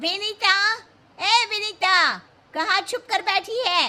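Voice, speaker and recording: A woman puts on a character voice at an extremely high pitch. She speaks at a very slow pace with fairly even intonation. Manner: shouting, calling out.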